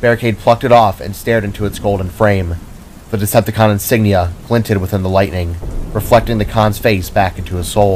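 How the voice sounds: What comes through is a natural reading voice.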